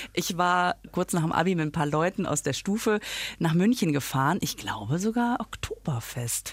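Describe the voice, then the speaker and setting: In a very clean recording with a silent background, a woman with a fairly low pitch speaks at a moderate pace with very wide pitch swings. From Germany, near Düsseldorf. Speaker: podcast co-host and comedian. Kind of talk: casual chat.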